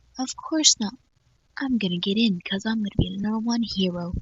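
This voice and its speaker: At a moderate pace, a woman of medium pitch speaks with fairly even intonation and a somewhat breathy quality. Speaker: fan fiction reader. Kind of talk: reading aloud. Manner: halting.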